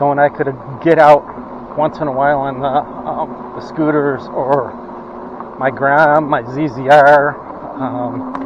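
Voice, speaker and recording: A man with a Western New York accent speaks fairly slowly and in a flat monotone at a fairly high pitch, with long, frequent pauses and noticeable background noise. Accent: Western New York American. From US Northeast (Rochester, New York). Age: 60s. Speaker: vlogger with COPD. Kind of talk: casual vlog monologue. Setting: outdoors riding an e-bike. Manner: rambling, hesitant with many fillers.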